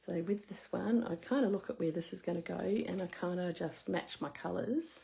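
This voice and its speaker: With an Australian accent, a woman talks at a moderate pace. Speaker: craft demonstrator. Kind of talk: live craft tutorial. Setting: live stream. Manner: casual.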